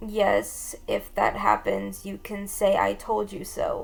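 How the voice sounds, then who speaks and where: A woman's raspy, put-on character voice at a fairly slow pace. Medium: solo performance. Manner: warm, soft and teasing.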